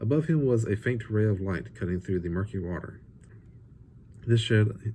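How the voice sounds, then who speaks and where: A man speaks at a moderate pace with a fairly low pitch, a somewhat breathy voice and a dark, mellow tone. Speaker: author reading his own book. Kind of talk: fireside book reading of fantasy fiction. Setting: home or rustic natural environment, non-professional recording. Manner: narrative storytelling read, expressive.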